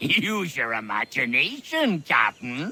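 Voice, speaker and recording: Using a put-on character voice, the speaker holds a middle pitch at a fairly slow pace. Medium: video game. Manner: folksy, teasing.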